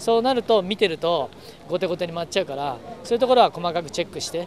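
At a very fast pace, a man speaks with a high pitch in a dry sound with no echo, over light background noise. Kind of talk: interview answer. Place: street.

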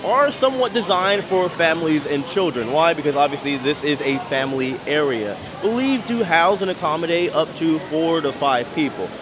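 Clear music plays in the background as a man talks at a fairly quick pace with hardly any pauses. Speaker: travel vlogger. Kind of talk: travel vlog commentary. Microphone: phone near.

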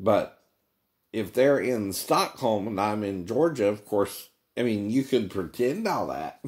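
A man at a fairly slow pace, with ordinary pitch variation, over a quiet background. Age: 50s. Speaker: vlogger. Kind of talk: casual monologue. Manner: frequent laughing. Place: home room. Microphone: phone near.

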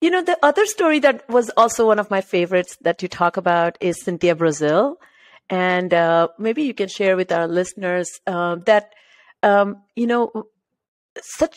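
Over a quiet background, a woman speaks in an Indian accent. Her pitch is medium. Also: lively intonation, moderate pace. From India, Maharashtra. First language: Marathi. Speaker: podcast host. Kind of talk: interview conversation. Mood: warm, engaged. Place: home room. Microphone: studio mic.

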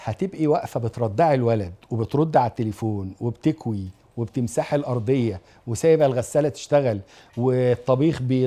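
With lively intonation, a man speaks at a medium pitch in a dark, mellow tone. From Egypt. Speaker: lecturer on family and marriage; TV lecturer on family life. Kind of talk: religious lecture to an audience. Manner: animated. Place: studio. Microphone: lapel.

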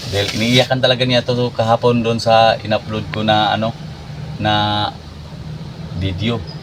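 At a moderate pace, a man with a medium pitch talks with fairly even intonation and long, frequent pauses. Noticeable background noise runs underneath. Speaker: jeepney driver and vlogger father. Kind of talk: casual vlog talking to camera and child.

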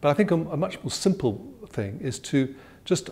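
A man talks in a tone that is dark and mellow. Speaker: interviewee. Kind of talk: interview answer. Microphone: lapel.

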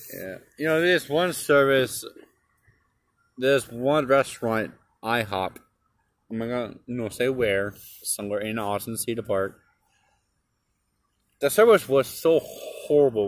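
A man speaks at a fairly slow pace with ordinary pitch variation and long, frequent pauses. The sound is dry, with no echo. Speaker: restaurant reviewer. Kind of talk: casual vlog chat. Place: street. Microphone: phone near.

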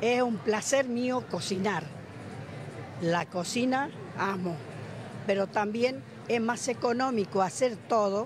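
A woman's very slow speech with long, frequent pauses, lively intonation and very even loudness, dry with no echo, over noticeable background noise. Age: 80s+. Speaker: retiree; interviewee. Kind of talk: street interview. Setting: outdoors. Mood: frank, somewhat indignant. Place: hall. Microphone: handheld.

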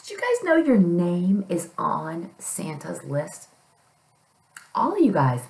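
At a fairly slow pace, a woman speaks. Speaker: storytime reader. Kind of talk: children's story reading. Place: home room. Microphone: webcam.

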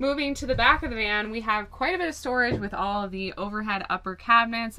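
The woman's tone is bright and sharp. Her pitch varies in an ordinary way. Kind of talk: tour presentation. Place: car.

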